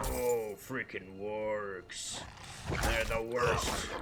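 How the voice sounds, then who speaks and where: Over loud background noise, a man does a put-on character voice at a fairly low pitch. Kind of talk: in-character role-play voice. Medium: game stream.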